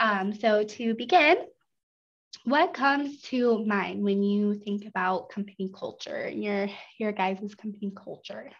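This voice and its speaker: At a fairly slow pace, a woman speaks in a fairly high, somewhat breathy voice with ordinary pitch variation. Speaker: webinar presenter. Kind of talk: online seminar presentation. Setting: online webinar. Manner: many filler ums.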